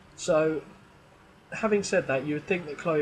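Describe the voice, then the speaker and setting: Quick-paced, a man speaks at a fairly high pitch. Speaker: gaming YouTuber. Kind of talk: gameplay commentary. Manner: casual, thinking aloud.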